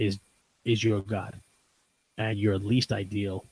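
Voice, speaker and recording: Fairly low-pitched and somewhat breathy, a man talks in a monotone, flat intonation with a dry, close sound and no echo. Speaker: podcast host. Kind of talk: casual chat. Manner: fast.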